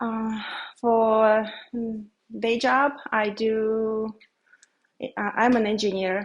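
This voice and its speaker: With a Belarusian accent, a woman speaks very slowly in a flat monotone, with long, frequent pauses. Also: fairly high pitch for a woman. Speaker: beekeeper and software engineer. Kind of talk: presentation to a library audience. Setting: public library talk with audience. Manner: halting, many fillers.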